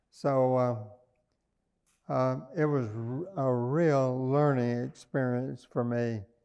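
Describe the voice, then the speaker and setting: A man's very slow speech in a Southern US accent, dark and mellow in tone, with ordinary pitch variation. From US South, small-town Arkansas. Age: 80s+. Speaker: businessman and philanthropist. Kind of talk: oral history interview. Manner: halting, many fillers.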